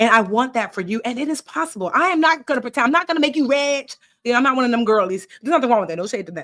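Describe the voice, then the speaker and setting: Very fast, animated delivery from a woman with a high pitch and hardly any pauses. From Nigeria. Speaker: personal finance educator and author. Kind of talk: live stream workshop. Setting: live video stream. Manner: casual.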